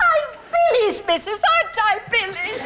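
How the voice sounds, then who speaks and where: A woman puts on a squeaky character voice at an extremely high pitch. She speaks at a moderate pace. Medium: stage play. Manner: excitable.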